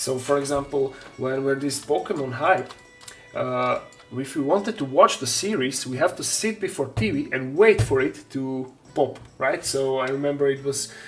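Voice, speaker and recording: Music plays in the background as a man speaks with a Slovak accent. His pitch varies in an ordinary way. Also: fairly high pitch for a man, moderate pace. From Slovakia. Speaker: terrain maker and miniature painter streamer. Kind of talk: casual live-stream chat.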